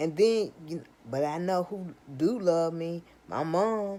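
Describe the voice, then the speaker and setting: A woman's dark, mellow voice with lively intonation. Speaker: vlogger. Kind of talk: casual monologue. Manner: slurred speech; halting, repetitive.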